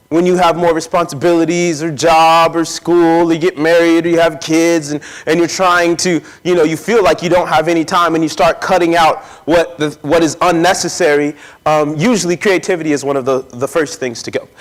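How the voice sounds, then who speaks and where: A man speaks loudly at a fairly quick pace. His pitch is high and his intonation fairly even. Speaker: poet and speaker leading a workshop. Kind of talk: workshop talk.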